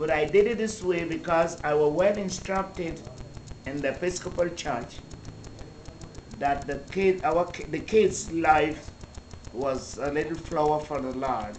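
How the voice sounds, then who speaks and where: With long, frequent pauses, a woman with a very deep, low pitch speaks at a fairly slow pace, with audible room echo and noticeable background noise. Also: ordinary pitch variation. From Dominican Republic, sugarcane estate, of Saint Kitts parents. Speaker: church minister. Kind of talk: interview testimony. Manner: halting.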